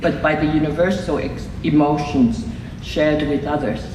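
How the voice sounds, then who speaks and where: A woman speaks over noticeable background noise, with audible room echo around her voice. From Hong Kong, emigrated to Canada at fifteen. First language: Cantonese. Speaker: filmmaker, award recipient. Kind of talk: acceptance speech read aloud. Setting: ceremony with audience. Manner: slow.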